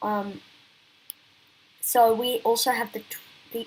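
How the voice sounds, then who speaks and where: A woman speaks in a fairly high pitch. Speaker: election analysis youtuber. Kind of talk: political analysis commentary. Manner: halting, with many fillers and restarts.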